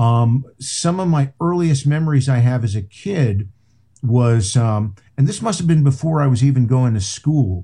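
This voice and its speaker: This man speaks with an American accent at a medium pitch, his intonation lively. His tone is dark and mellow, and somewhat breathy. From New Jersey, Englishtown. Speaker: rock radio host and author. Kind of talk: casual interview chat. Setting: video call from home studio.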